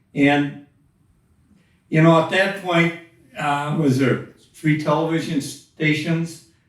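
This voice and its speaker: With audible room echo around him, a man with an American accent speaks very slowly at a fairly high pitch, in monotone, flat intonation with long, frequent pauses. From Wisconsin. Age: 80s+. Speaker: flat track motorcycle racer. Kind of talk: interview. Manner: terse.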